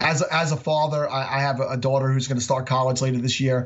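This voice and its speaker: A man's somewhat breathy, medium-pitched voice at a fairly quick pace, with fairly even intonation. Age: 40s. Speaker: fantasy football podcaster. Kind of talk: casual interview.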